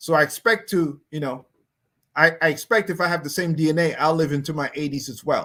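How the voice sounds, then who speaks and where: Speaking at a fairly quick pace with an American accent, a man uses a plain, everyday voice, fairly high in pitch, with ordinary pitch variation. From US, New York. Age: 60s. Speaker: pastor teaching personal finance. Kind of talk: online finance class. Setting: online livestream. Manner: casual.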